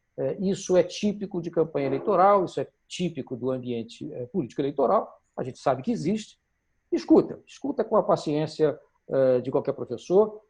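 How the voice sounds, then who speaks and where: With vocal fry and lively intonation, a man with fairly high pitch talks at a moderate pace. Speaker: campaign strategy instructor. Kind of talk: online workshop lecture.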